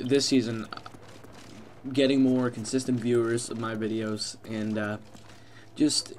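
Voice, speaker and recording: A mumbling man with a medium pitch and monotone, flat intonation, over noticeable background noise. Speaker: gaming commentator. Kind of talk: gameplay commentary. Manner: fast; mumbling, many fillers.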